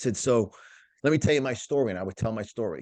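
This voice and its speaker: A man with an American accent talks at a very fast pace in a medium pitch. His pitch varies in an ordinary way, and the background is quiet. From New York. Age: 50s. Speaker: motivational speaker. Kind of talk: interview. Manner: repetitive restarts; animated.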